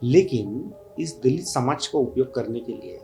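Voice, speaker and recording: Over music in the background, a man with a Marathi accent talks with lively intonation. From India, Maharashtra (Pune). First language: Marathi (speaking Hindi). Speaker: writer and social activist. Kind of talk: interview. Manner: hesitant, many fillers.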